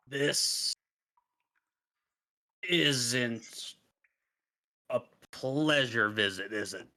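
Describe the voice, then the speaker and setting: A man puts on a raspy character voice at medium pitch with ordinary pitch variation. He goes at a very slow pace, with long, frequent pauses. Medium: actual play. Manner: gruff, blunt.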